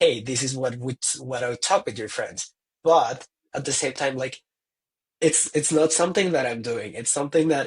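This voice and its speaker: With a non-native accent, a man speaks somewhat breathily at a fairly high pitch, his pitch varying in an ordinary way. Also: moderate pace. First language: not English. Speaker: tourism professional. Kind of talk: casual chat. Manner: halting.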